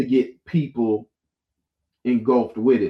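Speaking at a fairly slow pace with an American accent, a man uses a normal speaking voice, medium pitch and ordinary pitch variation. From Florida (Jacksonville). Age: young. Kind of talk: casual interview chat. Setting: live-streamed show.

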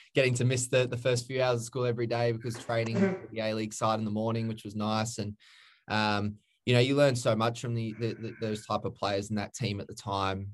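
Moving at a fairly quick pace with hardly any pauses, a man talks at a medium pitch with fairly even intonation. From Queensland, Australia (Redlands). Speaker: former professional footballer. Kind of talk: casual interview. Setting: online call.

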